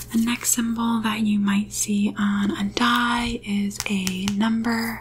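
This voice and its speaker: Over light background noise, a soft-spoken woman talks very slowly with fairly even intonation. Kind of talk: tutorial. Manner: soft-spoken, quiet ASMR instruction. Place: home room. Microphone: studio mic.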